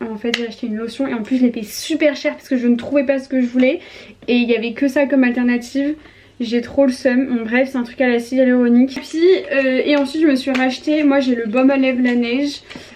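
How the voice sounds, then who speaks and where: A woman talks at a very fast pace in a high pitch. Her intonation is fairly even, and there is noticeable background noise. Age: 20s. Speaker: vlogger. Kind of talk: vlog.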